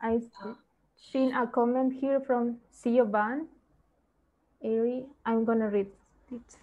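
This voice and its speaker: Using a high pitch and a non-native accent, a woman speaks at a very slow pace in a dark, mellow tone with monotone, flat intonation and long, frequent pauses. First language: not English. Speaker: environmental researcher presenting. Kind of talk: seminar Q&A discussion. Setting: video call.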